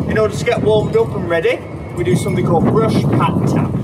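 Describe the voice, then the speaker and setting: A man over loud background noise. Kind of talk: tutorial. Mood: calm, gentle, encouraging. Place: garden. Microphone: camera far.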